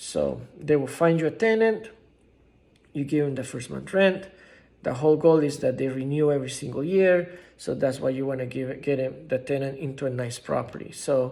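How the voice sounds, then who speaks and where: A man speaks at a fairly high pitch with a dark, mellow tone and ordinary pitch variation. Audible room echo surrounds the voice. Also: moderate pace. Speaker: real estate investing YouTuber. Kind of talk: informal tutorial. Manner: halting, many fillers and restarts.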